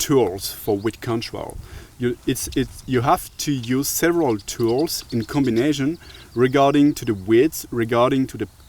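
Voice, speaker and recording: Over noticeable background noise, a man in a French accent talks at a fairly slow pace, medium pitch, and ordinary pitch variation. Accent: nice French. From France. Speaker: tool maker representative. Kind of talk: casual tool demonstration. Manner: hesitant, many fillers.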